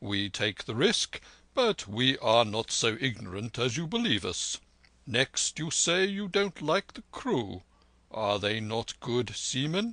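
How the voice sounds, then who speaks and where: A man uses a put-on character voice at medium pitch, with a calm tone and very wide pitch swings. The sound is dry and close with no echo, and the pace is fairly slow. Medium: read story. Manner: calm, reasonable.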